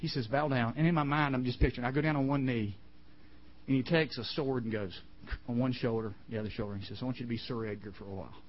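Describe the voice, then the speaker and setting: A man's somewhat breathy, medium-pitched voice at a very fast pace, with ordinary pitch variation and audible room echo. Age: 50s. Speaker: camp chapel speaker. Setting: camp chapel with audience. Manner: animated, conversational, voicing characters in quick back-and-forth dialogue; earnest, emotional, near tears.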